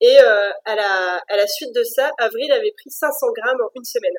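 A woman talks with very wide pitch swings. The sound is dry and close, with no echo. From France. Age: 30s. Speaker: mother sharing birth experience. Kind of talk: testimony. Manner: halting, many repetitions and fillers.

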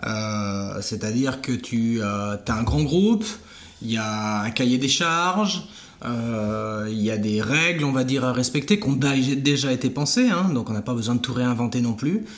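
In a room with audible echo, a man of medium pitch speaks at a fairly slow pace with lively intonation. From France, Vendée coast. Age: 40s. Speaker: entrepreneur. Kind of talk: interview. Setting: at the guest's home. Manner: halting, many fillers.

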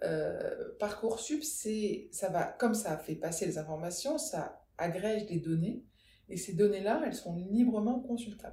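A very slow, somewhat breathy delivery in a dark, mellow tone with lively intonation. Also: woman, medium pitch for a woman. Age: 40s. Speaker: podcast creator, school orientation expert. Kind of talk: interview, casual chat.

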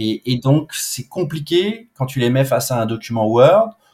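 A man's medium-pitched voice comes through at a moderate pace. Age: 40s. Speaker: public finance program director. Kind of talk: interview. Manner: casual with frequent hesitations.

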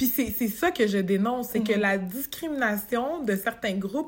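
Her voice is somewhat breathy and fairly high in pitch. The woman speaks at a fairly slow pace. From Quebec, Montreal. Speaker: human resources professional. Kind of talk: interview conversation.

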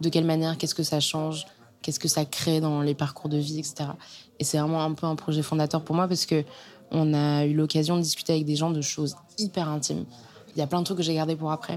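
A woman talks at a fairly quick pace in a very deep, low pitch, monotone and flat, her loudness very even. The recording is very clean with a silent background. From Normandy, France (Caen). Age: young. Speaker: journalist and podcast author. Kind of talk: casual interview conversation. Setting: bar in a converted house, sitting in a bathtub.

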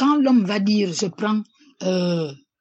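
A woman's voice comes through somewhat breathy. She talks very slowly. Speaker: student's mother. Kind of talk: interview. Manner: halting.

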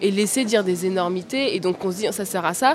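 Music plays in the background as a woman talks at a fairly quick pace. Her intonation is lively. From France, working-class suburbs. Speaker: TV journalist. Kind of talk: panel discussion. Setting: live recording at a journalism festival. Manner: halting, repeats words.

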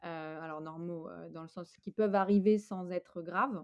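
A woman's plain, everyday voice, fairly low and fairly slow, in a dry, close sound with no echo. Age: 30s. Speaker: app founder. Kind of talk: interview.

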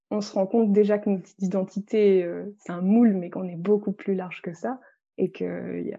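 Her dark, mellow tone sits at a medium pitch, and the woman keeps a fairly even intonation at a moderate pace. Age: 20s. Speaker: energy healer and author. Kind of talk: interview. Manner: halting.

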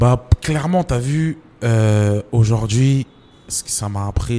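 A man talks with ordinary pitch variation. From France, Champigny (Paris suburbs), Comorian roots. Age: 30s. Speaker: writer and screenwriter. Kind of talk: interview. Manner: casual, full of fillers.

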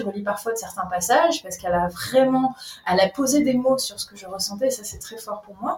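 Noticeable background noise is audible behind a woman. She speaks at a moderate pace in a fairly high voice with ordinary pitch variation. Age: 30s. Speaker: breathing coach. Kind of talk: casual chat. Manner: animated.

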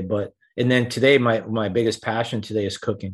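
A man speaks with a New York accent at a fairly quick pace. His medium pitch stays monotone and flat. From New York City (Rockaway, Queens). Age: 60s. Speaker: wealth manager. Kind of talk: interview.

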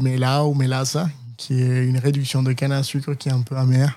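A man with a Spanish accent, dark and mellow in tone, fairly high in pitch, monotone and flat, at a fairly slow pace, on a very clean recording with a silent background. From Colombia, Cali. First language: Spanish (speaking French). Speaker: chef. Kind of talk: interview. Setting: in his restaurant.

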